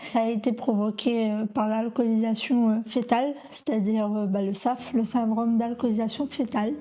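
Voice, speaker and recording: A woman's fairly high voice, fairly level in intonation, moves at a medium speed while clear background noise carries on. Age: 30s. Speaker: person living with fetal alcohol syndrome, association ambassador. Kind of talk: testimony. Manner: halting, many hesitations.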